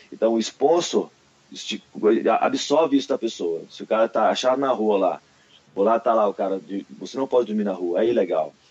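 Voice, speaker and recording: A man speaks at a fairly quick pace with lively intonation and a medium pitch. He leaves long, frequent pauses, and there is noticeable background noise. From Brasília, Brazil. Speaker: martial arts athlete and instructor. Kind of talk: casual chat.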